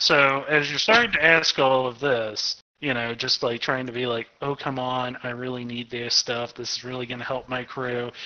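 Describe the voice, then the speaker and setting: A man at a moderate pace with medium pitch and a normal speaking voice. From Arkansas, US South. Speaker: game master running a tabletop RPG. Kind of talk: casual tabletop roleplaying game session.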